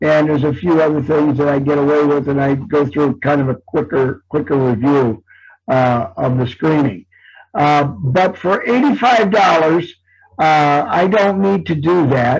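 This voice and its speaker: The voice is somewhat breathy and keeps a very even loudness. It moves at a fairly slow pace. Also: man, fairly high pitch for a man. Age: 70s. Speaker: travel agency owner and host. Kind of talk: monthly update for customers. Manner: casual, hesitant with many fillers.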